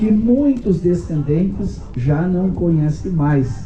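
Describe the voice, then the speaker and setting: A man's high-pitched voice with lively intonation at a very slow pace, plus audible room echo and noticeable background noise. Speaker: book author, genealogist. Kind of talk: speech at inauguration ceremony.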